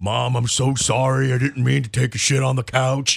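Using a put-on character voice, a man talks at a medium pitch. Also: moderate pace. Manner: apologetic, comical.

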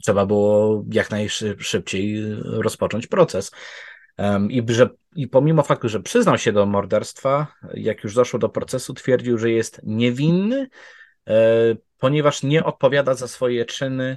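A man talks at a fairly slow pace and medium pitch. His pitch varies in an ordinary way. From Poland. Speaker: true crime researcher. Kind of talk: storytelling conversation. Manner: fluent.

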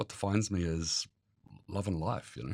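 A man speaks fairly quickly in a Southland New Zealand accent, with ordinary pitch variation. The sound is dry and close, with no echo. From New Zealand, Invercargill (Southland). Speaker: interviewee sharing mental health experience. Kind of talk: personal testimony. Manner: hesitant, with many fillers.

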